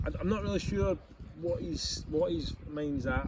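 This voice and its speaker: A man's voice against noticeable background noise. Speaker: football manager. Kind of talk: post-match interview. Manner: halting, repetitive.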